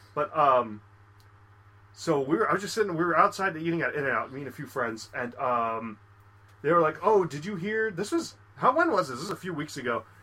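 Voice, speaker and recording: Against noticeable background noise, a man with a fairly high pitch and an animated tone talks at a fairly quick pace, with very wide pitch swings and big swings in loudness. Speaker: podcast co-host. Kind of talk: casual chat.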